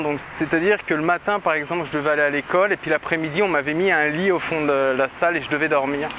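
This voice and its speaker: This man's voice sits at a fairly high pitch. Noticeable background noise runs behind him. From central France, Berry. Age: 30s. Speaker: testimony giver. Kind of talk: testimony. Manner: hesitant, many fillers.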